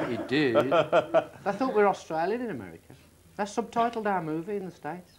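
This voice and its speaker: A high-pitched man at a fairly quick pace, his pitch swinging very widely, with noticeable background noise. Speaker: rock singer, guest. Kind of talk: radio interview answer.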